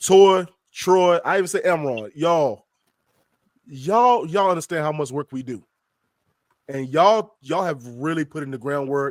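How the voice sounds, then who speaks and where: The voice has an animated tone and ordinary pitch variation. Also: man. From US South. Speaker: magazine editor and podcast co-host. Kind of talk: casual chat. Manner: fast.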